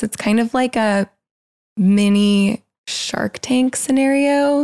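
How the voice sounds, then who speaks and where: A woman speaks with a Californian accent and ordinary pitch variation. The sound is dry and close, with no echo. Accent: Californian American English. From Los Angeles, California. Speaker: freelance photographer. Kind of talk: casual interview chat.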